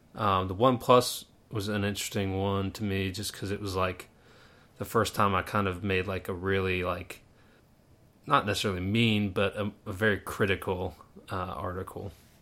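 In an American accent, a man talks at a moderate pace with a fairly low pitch, monotone, flat intonation and a bright, sharp tone. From Pittsburgh, Pennsylvania. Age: 20s. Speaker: podcast host, engineer and part-time pilot. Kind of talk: casual interview.

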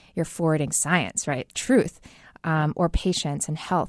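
The background is quiet and the sound is dry and close, with no echo. A woman with a very deep, low pitch speaks at a moderate pace. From New York. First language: Chinese. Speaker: tech company co-founder. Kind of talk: interview.

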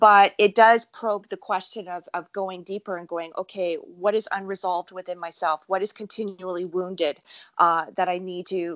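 A woman speaks with monotone, flat intonation. Her loudness swings widely. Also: medium pitch for a woman. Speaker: podcast host. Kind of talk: interview; guest introduction. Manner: fast.

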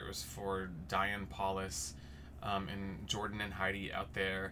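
Over noticeable background noise and audible room echo, a man with an American accent and a fairly low pitch speaks at a moderate pace with ordinary pitch variation. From Texas. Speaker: stage actor. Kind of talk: casual chat.

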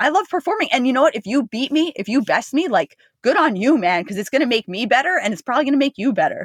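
A woman with an American accent talks at a very fast pace with hardly any pauses, her high voice making very wide pitch swings. The sound is dry and close, with no echo. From New Jersey, US. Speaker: ultramarathon runner. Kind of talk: casual interview chat.

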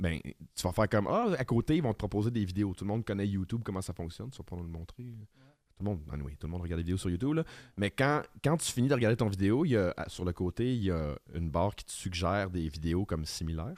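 On a very clean recording with a silent background, a man with a Quebec accent talks at a very fast pace and a fairly low pitch with lively intonation. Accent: Québécois French. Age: 30s. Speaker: podcast co-host. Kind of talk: casual chat.

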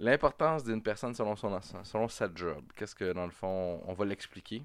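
Against a quiet background, a man with a Quebec accent talks at a moderate pace with lively intonation. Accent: Québécois French. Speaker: podcast host. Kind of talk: casual chat. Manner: animated.

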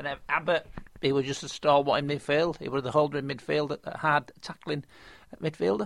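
He talks in a Yorkshire accent at a fairly quick pace. This man's pitch is fairly high, with ordinary variation. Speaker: football fan, host's father. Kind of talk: casual chat.

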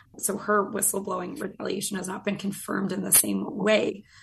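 Background noise is noticeable while the words come at a fairly quick speed. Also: woman. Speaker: government accountability advocate. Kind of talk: interview.

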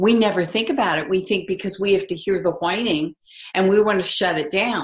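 Somewhat breathy woman's voice of medium pitch at a moderate pace. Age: 60s. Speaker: parenting expert. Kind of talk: casual chat.

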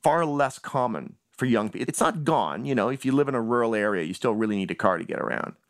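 A man with a Canadian accent talks at a fairly quick pace, his pitch medium and his intonation lively. He has an ordinary speaking voice. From Canada, Toronto. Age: 40s. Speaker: writer. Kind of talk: interview.

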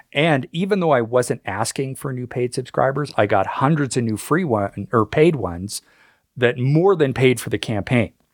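With a Canadian accent and a normal speaking voice, a man speaks at a moderate pace with lively intonation, in a dry, close recording with no echo that is very clean over a silent background. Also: medium pitch for a man. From Canada. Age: 50s. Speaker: author and history writer. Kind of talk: interview.

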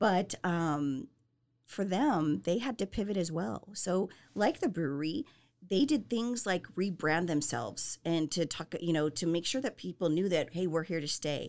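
A woman with an American accent and an unremarkable speaking voice talks at a fairly slow pace, with a fairly low pitch and lively intonation. The recording is very clean, with a silent background. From Southern California. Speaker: business owner. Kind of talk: interview.

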